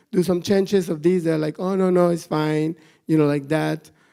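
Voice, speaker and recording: Delivered at a fairly quick pace with a Mexican accent, the voice has a dark, mellow tone and monotone, flat intonation on a very clean recording with a silent background. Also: man. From northern Mexico, Monterrey. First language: Spanish. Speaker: animal rights activist. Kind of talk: conference talk. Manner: halting, many fillers and repetitions.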